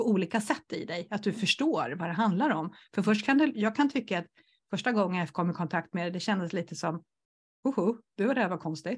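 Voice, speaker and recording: A woman's somewhat breathy voice rushes along at a very fast pace, her intonation lively. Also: medium pitch for a woman, quiet background. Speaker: entrepreneur and coach for introverts. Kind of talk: casual interview chat.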